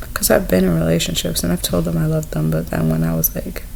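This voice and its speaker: Soft-spoken, a woman talks amid audible room echo and noticeable background noise. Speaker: vlogger. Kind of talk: personal vlog monologue. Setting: indoors in someone else's home. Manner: hesitant.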